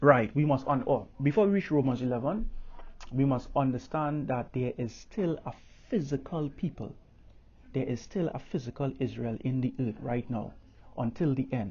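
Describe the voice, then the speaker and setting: A man with a Caribbean accent speaks at a medium pitch and a moderate pace. His voice is somewhat breathy, with ordinary pitch variation. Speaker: religious teacher. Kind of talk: bible teaching. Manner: halting, many fillers.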